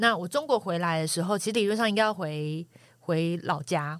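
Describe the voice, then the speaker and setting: A woman with a plain, everyday voice, fairly low in pitch, lively in intonation and fairly quick, in a very clean recording with a silent background. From Taiwan, coastal Taichung. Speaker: former journalist. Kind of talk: casual chat.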